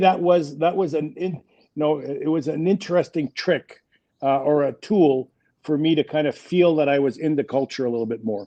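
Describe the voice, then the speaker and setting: This man has a French Canadian accent and a fairly high pitch. His pace is moderate, with ordinary pitch variation. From Quebec, Montreal. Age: 60s. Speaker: business executive. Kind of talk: interview.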